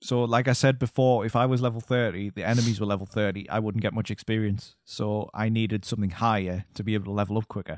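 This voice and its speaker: With a British accent, a man speaks at a very fast pace and fairly low pitch with hardly any pauses and fairly even intonation, in a dry, close sound with no echo on a very clean recording with a silent background. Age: 30s. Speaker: podcast co-host. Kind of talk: casual chat.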